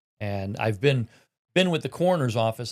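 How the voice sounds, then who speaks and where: The recording is very clean, with a silent background and a dry, close sound without echo. A man speaks in a Midwestern American accent. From Indiana, Newton County. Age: 60s. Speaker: county coroner. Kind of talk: interview. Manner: halting.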